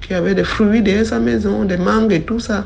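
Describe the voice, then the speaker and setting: Amid noticeable background noise, a woman speaks at a medium pitch with ordinary pitch variation. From Cameroon, coastal region. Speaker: storyteller. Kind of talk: testimony.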